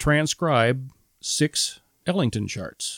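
A man with a Midwestern American accent is heard in a dry, close sound with no echo. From central Illinois (Metamora). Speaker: retired high school band director. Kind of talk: casual interview.

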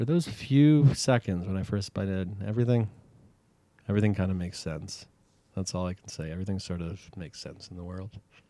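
Talking at a fairly quick pace, a man with a Canadian accent has a very deep, low pitch. His pitch varies in an ordinary way while his loudness swings widely. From Canada, Toronto. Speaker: hot dog enthusiast. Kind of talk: casual chat. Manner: halting.

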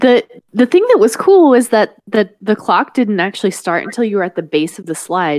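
With an American accent and an unremarkable speaking voice, a woman talks at a moderate pace and fairly high pitch with lively intonation, the sound dry and close with no echo. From US South. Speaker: podcast host and parent. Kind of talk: casual chat.

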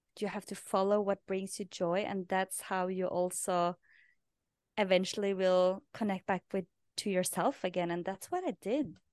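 At a moderate pace and with fairly even intonation, the voice sounds dry and close with no echo against a quiet background. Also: woman, medium pitch for a woman. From Norway. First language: Norwegian. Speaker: podcast host and life purpose coach. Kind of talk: interview. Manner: halting.

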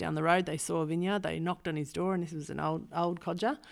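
A woman with an Australian accent and a fairly low pitch, on a very clean recording with a silent background. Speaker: vineyard owner and winemaker. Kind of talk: casual interview.

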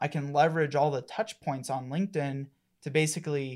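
Recorded very cleanly against a silent background, a man with an American accent uses a plain, everyday voice, fairly high in pitch with fairly even intonation. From Colorado. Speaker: marketing agency partner. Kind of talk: casual interview.

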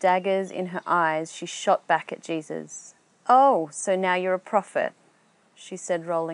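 Fairly even intonation in a natural reading voice

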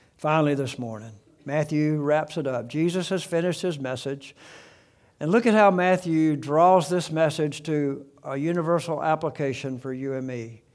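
In a very clean recording with a silent background, a man with a Southern US accent speaks at a moderate pace, his fairly high pitch showing ordinary variation. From US South, South Alabama. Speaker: pastor. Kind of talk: sermon.

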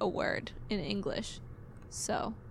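A woman speaks with an American accent. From US. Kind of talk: casual chat. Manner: soft-spoken.

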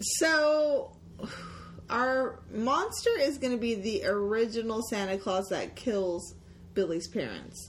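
Noticeable background noise surrounds a woman who speaks at a very slow pace. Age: 30s. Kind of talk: casual chat.

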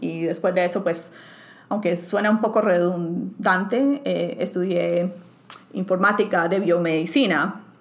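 A woman with a medium pitch talks fairly slowly, her pitch shifting in an ordinary way. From Colombia, Bucaramanga. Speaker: scientist. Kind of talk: interview. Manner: hesitant, many fillers.

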